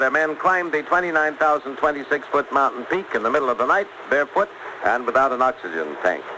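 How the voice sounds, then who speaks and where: Noticeable background noise around a male speaker with ordinary pitch variation. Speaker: radio newscaster. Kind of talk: radio news broadcast. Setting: 1960s radio broadcast recording.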